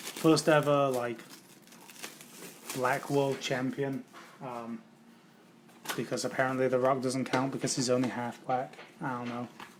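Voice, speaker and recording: Fairly slow, monotone, flat delivery in an English accent, with long, frequent pauses and noticeable background noise. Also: man, medium pitch for a man. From England. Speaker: trading card case breaker, streamer. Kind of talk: casual live stream chat.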